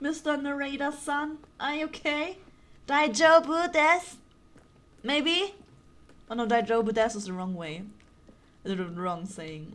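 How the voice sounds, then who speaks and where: Pausing long and often, a woman with a high pitch speaks at a fairly slow pace, her pitch swinging very widely and her loudness rising and falling sharply. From Germany. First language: German. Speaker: gaming streamer. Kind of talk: casual chat.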